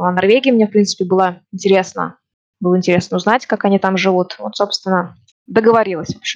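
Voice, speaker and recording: A woman with a plain, everyday voice speaks at a fairly quick pace, at medium pitch, with fairly even intonation. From Russia, Ufa (Bashkortostan). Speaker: immigrant interviewee. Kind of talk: casual interview.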